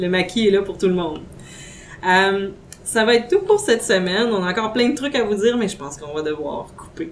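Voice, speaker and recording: Against noticeable background noise, a woman talks at a medium pitch and a fairly quick pace with lively intonation. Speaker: podcast host. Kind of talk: casual chat.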